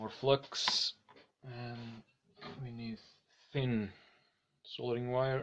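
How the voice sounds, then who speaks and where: The speech is very slow. Long, frequent pauses run through it. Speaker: electronics hobbyist. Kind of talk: live-stream tutorial. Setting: live stream. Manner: casual, halting.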